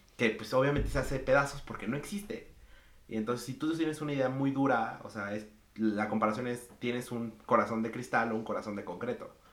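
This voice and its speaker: A man speaks fairly quickly, his voice carrying audible room echo amid noticeable background noise. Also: medium pitch for a man, ordinary pitch variation. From Mexico. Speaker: podcast guest. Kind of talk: casual chat.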